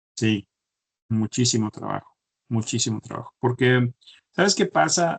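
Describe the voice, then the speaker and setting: Recorded with a dry, close sound and no echo, a man talks at a fairly slow pace and a medium pitch. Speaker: chemical engineer. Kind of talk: interview. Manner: halting, many repetitions.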